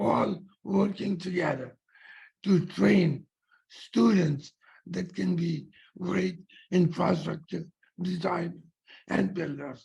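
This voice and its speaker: With a high pitch and ordinary pitch variation, a man speaks at a very slow pace, leaving long, frequent pauses. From India. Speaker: founder of an engineering school program, donor. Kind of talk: webinar remarks. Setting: video call.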